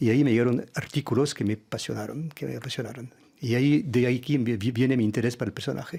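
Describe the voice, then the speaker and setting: Speaking at a very fast pace, a man uses vocal fry with a medium pitch and fairly even intonation. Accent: French. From France. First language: French (speaking Spanish). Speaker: diplomat. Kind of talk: radio interview. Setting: radio studio. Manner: halting, many hesitations.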